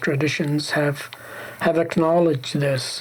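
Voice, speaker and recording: A man speaks slowly-ish with an Arabic accent, his pitch fairly high and his intonation fairly even. Noticeable background noise sits behind him. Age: old. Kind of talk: reflective faith conversation.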